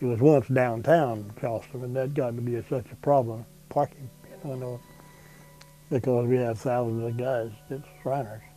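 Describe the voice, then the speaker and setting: With music in the background, a man talks with fairly even intonation in a South Carolina accent. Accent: Southern American (South Carolina). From South Carolina, USA. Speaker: World War II veteran. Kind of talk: oral history interview answer.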